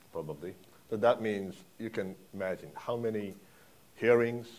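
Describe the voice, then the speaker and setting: Speaking with a Japanese accent, a man talks at a moderate pace in a fairly low pitch with ordinary pitch variation. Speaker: foreign policy analyst. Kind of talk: panel discussion. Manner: halting.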